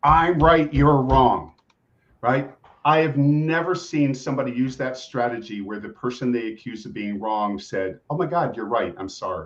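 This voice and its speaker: A man with an ordinary speaking voice talks at a moderate pace in a medium pitch, with lively intonation and big swings in loudness. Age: 60s. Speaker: executive coach and family therapist. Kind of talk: interview podcast.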